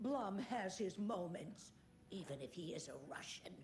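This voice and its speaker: Over clear background noise, a woman does a put-on character voice at a medium pitch and moderate pace with lively intonation. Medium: video game. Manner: tart, chatty.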